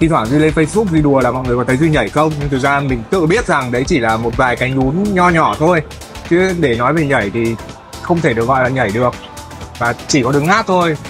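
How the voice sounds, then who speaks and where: Over clear music in the background, a man talks at a very fast pace with a fairly high pitch and lively intonation, in a dry sound with no echo. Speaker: singer. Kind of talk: interview answer. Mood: relaxed, friendly, animated. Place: studio.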